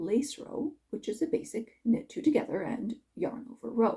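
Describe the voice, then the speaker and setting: At a moderate pace, a woman talks in a high pitch. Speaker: knitting instructor. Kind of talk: tutorial.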